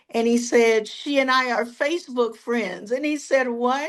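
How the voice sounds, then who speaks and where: A woman's high-pitched voice at a fairly slow pace, with ordinary pitch variation. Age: 70s. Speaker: counselor and minister. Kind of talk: interview testimony. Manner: animated storytelling.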